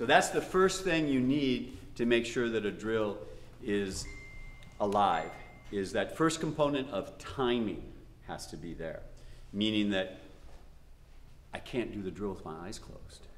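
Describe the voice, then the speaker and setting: A man speaks at a fairly slow pace, with long, frequent pauses. His pitch swings very widely and his loudness rises and falls sharply. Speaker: martial arts coach. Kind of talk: instructional explanation. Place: gym.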